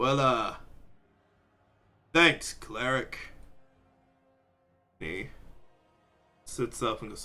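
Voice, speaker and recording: A man's put-on character voice at a medium pitch, very slow pace, with long, frequent pauses. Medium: actual play.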